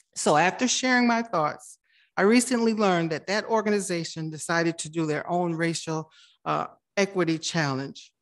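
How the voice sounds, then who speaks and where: Set against a quiet background, a woman with a plain, everyday voice speaks at a moderate pace, her pitch fairly low and ordinarily varied. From immigrant to the US. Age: 50s. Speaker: city council member. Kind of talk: council meeting report.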